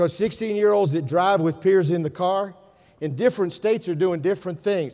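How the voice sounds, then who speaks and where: The man speaks at a moderate pace in a high voice. His pitch varies in an ordinary way, and the background is quiet. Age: 60s. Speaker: educator. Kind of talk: conference talk. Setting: stage with audience. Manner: animated. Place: hall.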